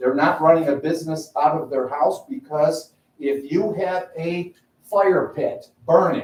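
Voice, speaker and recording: Loud and at a fairly slow pace, a man with a fairly high pitch talks in an American accent. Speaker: resident speaking at public comment. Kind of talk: public comment at town meeting. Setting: town board meeting. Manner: animated.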